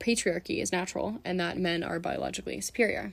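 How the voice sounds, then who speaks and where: A woman with an American accent and vocal fry talks at medium pitch and a fairly quick pace on a very clean recording with a silent background. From California, San Francisco. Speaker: student podcaster. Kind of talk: scripted monologue.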